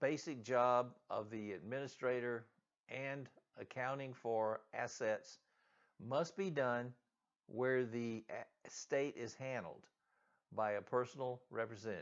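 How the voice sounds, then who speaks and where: In a Southern US accent, a man with a medium-pitched voice talks at a fairly slow pace with ordinary pitch variation. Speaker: real estate agent. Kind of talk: reading aloud.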